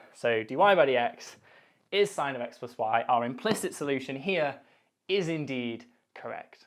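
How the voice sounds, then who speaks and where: With lively intonation and a moderate pace, a man with an unremarkable speaking voice is captured on a very clean recording with a silent background. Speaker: maths lecturer. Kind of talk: tutorial.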